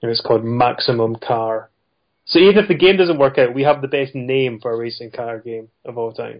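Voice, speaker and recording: In a Scottish accent, a man talks at a fairly quick pace and medium pitch with ordinary variation, his loudness swinging widely. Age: 30s. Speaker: indie game developer. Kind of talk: interview.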